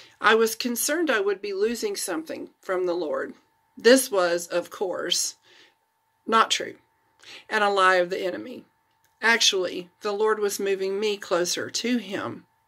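A woman with an American accent and a bright, sharp tone, ordinary pitch variation, a fairly slow pace and long, frequent pauses against a quiet background. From Florida, USA. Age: 50s. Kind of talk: read-aloud personal testimony blog. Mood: earnest, warm, reflective. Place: home room. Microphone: phone near.

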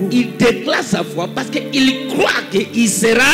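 A man talks with clear music in the background. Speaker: preacher. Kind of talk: sermon. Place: church. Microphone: handheld.

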